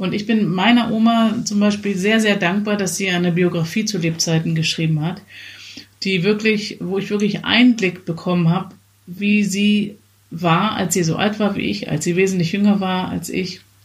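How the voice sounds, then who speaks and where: A somewhat breathy voice at a moderate pace, with fairly even intonation. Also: woman, medium pitch for a woman. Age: 40s. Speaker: podcast co-host. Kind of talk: casual chat.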